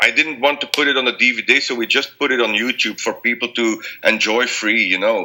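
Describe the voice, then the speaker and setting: A man with a Belgian accent, medium in pitch and fairly quick, with fairly even intonation and hardly any pauses. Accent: non-native English, Belgian. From Belgium. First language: not English. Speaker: blues rock singer. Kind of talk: interview. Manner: halting, many repetitions.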